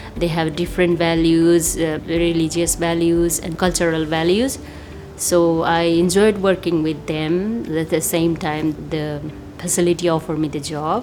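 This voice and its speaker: A woman speaks at a moderate pace in a fairly low voice with fairly even intonation. Noticeable background noise is present. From Nepal. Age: 30s. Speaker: aged care worker. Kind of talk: interview testimony.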